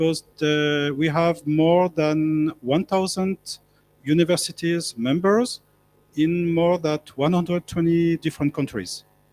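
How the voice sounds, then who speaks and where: A man with a French accent speaks fairly slowly at a fairly high pitch, his intonation fairly even and loudness very even. The recording is very clean, with a silent background. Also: dry, close sound with no echo. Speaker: professor. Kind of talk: panel talk. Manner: halting.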